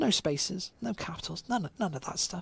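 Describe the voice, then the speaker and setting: Her voice is somewhat breathy, with a British accent. The woman's pitch swings very widely. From England, West Midlands. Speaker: esports commentator. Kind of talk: live commentary.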